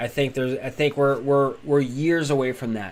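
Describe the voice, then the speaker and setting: Here is a man with a medium pitch. He speaks at a fairly quick pace. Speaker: crypto YouTuber. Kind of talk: live stream chat. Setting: live stream. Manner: fast.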